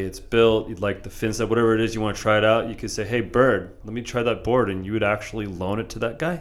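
An ordinary speaking voice, a man's in a fairly low pitch, comes with an American accent and fairly even intonation. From San Diego, California. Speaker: podcast host. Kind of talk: casual interview. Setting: shaping room with echo. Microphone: a bit of echo.

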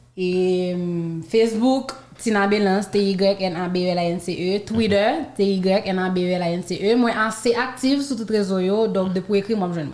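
A woman's mid-range voice comes through with clear background noise behind it. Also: ordinary pitch variation, moderate pace. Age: 20s. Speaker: professional dancer and student. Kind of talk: interview.

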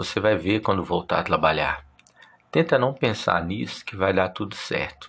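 Speaking at a moderate pace, a man with a very deep, low pitch shows ordinary pitch variation. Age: 30s. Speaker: podcast host. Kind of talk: personal monologue.

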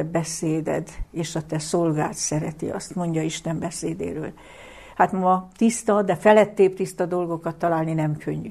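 A woman talks at a moderate pace in a dark, mellow tone, with fairly even intonation. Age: 70s. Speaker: lecturer on the Bible. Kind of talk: lecture. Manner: formal.

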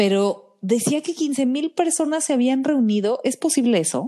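A woman's high voice has a dark, mellow tone and very wide pitch swings. She speaks at a fairly slow pace. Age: 30s. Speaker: podcast co-host. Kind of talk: casual chat.

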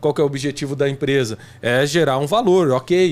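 Using a plain, everyday voice, a man speaks at a moderate pace and fairly high pitch with ordinary pitch variation. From Brazil, interior of São Paulo state (Jardinópolis). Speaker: podcast co-host. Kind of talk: casual chat.

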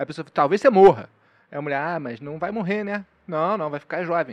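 A man's high voice in a strong Carioca accent, fairly quick yet broken by long, frequent pauses, with ordinary pitch variation and big swings in loudness. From Rio de Janeiro. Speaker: comedian. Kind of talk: casual chat.

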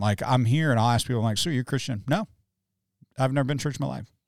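Very fast and with lively intonation, a man talks with vocal fry in a very clean recording against a silent background. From Kentucky / Cincinnati area. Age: 40s. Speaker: pastor and podcast host. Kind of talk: casual chat. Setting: studio.

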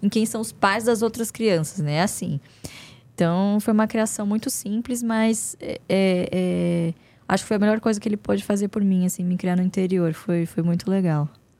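A woman's dark, mellow tone at a moderate pace. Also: medium pitch for a woman, ordinary pitch variation. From São Paulo state countryside, Brazil. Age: 20s. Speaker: investment analyst and company board member. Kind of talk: casual interview.

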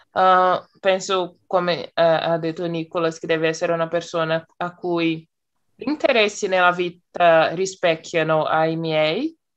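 A woman's fairly slow, fairly low-pitched speech with fairly even intonation, an unremarkable speaking voice, and a quiet background. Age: 20s. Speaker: psychology student, language learner. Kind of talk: casual group conversation practice. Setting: video call.

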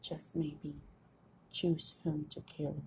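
A woman's very slow, dark and mellow voice with vocal fry. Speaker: podcaster and amateur author. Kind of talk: reading own poems aloud; casual solo talk. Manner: halting, self-correcting.

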